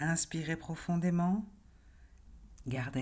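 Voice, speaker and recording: The delivery is very slow, calm and soothing. The tone is dark and mellow, somewhat breathy. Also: woman. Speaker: hypnotherapist and life coach. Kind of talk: guided relaxation hypnosis induction. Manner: slow, calm, soothing.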